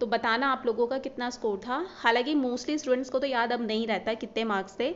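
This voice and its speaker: A woman speaks in a high voice. Her pitch varies an ordinary amount. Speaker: banking exam YouTuber. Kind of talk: casual vlog talk to camera.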